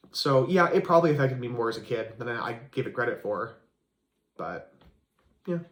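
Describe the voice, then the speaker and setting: Somewhat breathy speech moves at a fairly quick pace with ordinary pitch variation. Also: man, medium pitch for a man. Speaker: massage therapist with a stutter. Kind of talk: interview. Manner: halting.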